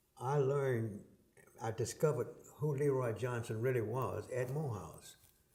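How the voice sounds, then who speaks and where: A man speaks at a moderate pace with a medium pitch. His voice is somewhat breathy, with a dark, mellow tone. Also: ordinary pitch variation. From US South, Atlanta, Georgia. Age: 80s+. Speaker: retired politician. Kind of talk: interview.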